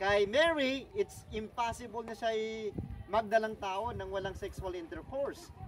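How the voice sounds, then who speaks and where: Over noticeable background noise, a man with a high pitch talks at a fairly slow pace with ordinary pitch variation. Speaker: tour guide. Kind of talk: guided tour talk on Bible story. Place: open country. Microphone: camera far.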